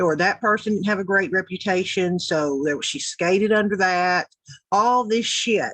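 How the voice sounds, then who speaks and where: Speaking with a Southern US accent, a woman uses an animated tone at a medium pitch, a moderate pace and ordinary pitch variation. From US South (Tennessee). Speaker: YouTube commentator. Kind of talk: reaction commentary.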